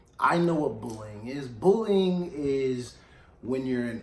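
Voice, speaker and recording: A man's medium-pitched, animated voice with ordinary pitch variation and audible room echo. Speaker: radio show host. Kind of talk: casual chat.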